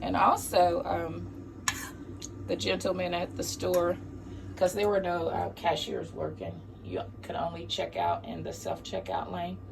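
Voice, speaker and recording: Speech moves at a fairly slow pace, broken by long, frequent pauses. Noticeable background noise runs underneath. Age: old. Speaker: vlogger and caregiver. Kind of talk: casual vlog talk. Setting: at home.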